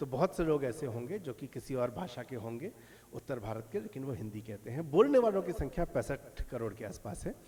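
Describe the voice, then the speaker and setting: A man of medium pitch speaks in a dark, mellow, somewhat breathy tone with very wide pitch swings. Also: moderate pace. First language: Maithili (speaking Hindi). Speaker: lecturer / speaker. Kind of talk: lecture. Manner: halting, with filler pauses.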